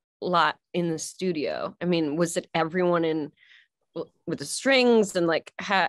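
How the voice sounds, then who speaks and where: Over a quiet background, a woman with an American accent talks at a fairly slow pace, her fairly low pitch moving with ordinary variation. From Cleveland, Ohio; Ohio. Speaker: singer; guest. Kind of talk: casual chat. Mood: warm, curious. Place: home room. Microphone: video call.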